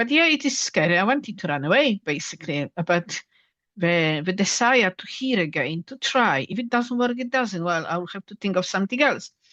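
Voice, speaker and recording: Speaking with a Polish accent at a medium pitch, a woman's voice swings very widely in pitch and greatly in loudness. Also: moderate pace. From Poland. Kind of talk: interview.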